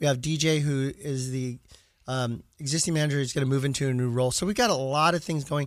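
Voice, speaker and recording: On a very clean recording with a silent background, a man with a fairly high voice talks very fast with fairly even intonation. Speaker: radio host, sports card store owner. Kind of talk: sports radio chat. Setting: studio.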